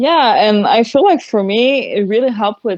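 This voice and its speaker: A woman with a Quebec accent talks at a fairly quick pace. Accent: French-Canadian accent in English. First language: French. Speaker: metal singer and solo musician. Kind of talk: podcast interview. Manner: hesitant, many fillers.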